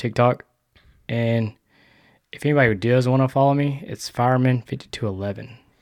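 Here is a man with a southeast Texas accent, his pitch medium and his intonation fairly even. The recording is very clean, the background silent. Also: long, frequent pauses. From Texas, Sour Lake (southeast Texas). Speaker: firefighter and public-land hunter. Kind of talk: casual chat.

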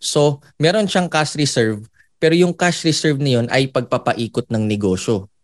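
A man talks in an ordinary speaking voice at a fairly slow pace with lively intonation. The sound is dry and close with no echo, over a quiet background. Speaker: motivational speaker. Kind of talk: testimony.

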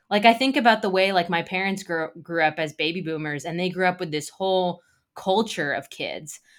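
In an American accent, a woman with a plain, everyday voice speaks at a fairly quick pace and medium pitch with ordinary pitch variation, on a very clean recording with a silent background. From United States. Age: 30s. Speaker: author. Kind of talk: interview.

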